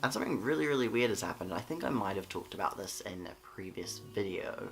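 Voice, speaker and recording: Music plays in the background as a man talks very fast in an Australian accent. His intonation is lively. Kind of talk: casual talk to camera. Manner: sleepy, late-night.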